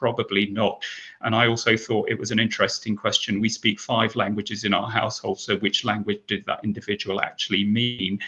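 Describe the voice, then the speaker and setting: A man with a fairly low pitch and a British accent, fairly quick in pace and monotone, with flat intonation. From Britain. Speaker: advertising executive. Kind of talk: panel discussion.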